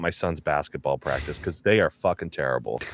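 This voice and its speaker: Recorded very cleanly against a silent background, a man with an American accent and an ordinary speaking voice talks at a fairly quick pace. His intonation is lively, and the sound is dry and close with no echo. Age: 40s. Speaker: voice actor and comedian. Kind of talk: casual chat.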